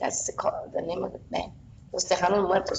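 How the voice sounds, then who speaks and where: Noticeable background noise accompanies a female speaker with an American accent. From Texas, San Antonio west side. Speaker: flamenco dancer and teacher. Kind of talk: oral history interview. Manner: halting, repetitive.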